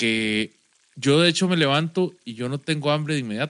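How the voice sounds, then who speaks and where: A man with a Costa Rican accent speaks at a moderate pace in a fairly high pitch, recorded with a dry, close sound and no echo. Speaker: podcast co-host. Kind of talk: casual chat. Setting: studio.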